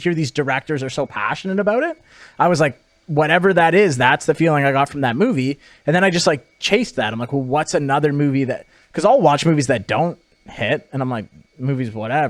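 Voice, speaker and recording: The pace is very fast. The intonation is lively. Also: man, fairly high pitch for a man. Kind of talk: casual podcast conversation. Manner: fast talking.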